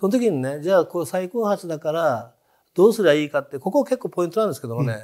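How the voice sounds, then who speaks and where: A man's high-pitched voice with a dark, mellow tone and very wide pitch swings, at a very fast pace against a quiet background. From Japan, Hiroshima. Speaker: entrepreneur. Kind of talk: interview conversation. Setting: studio. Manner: animated, humorous. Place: studio. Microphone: lapel.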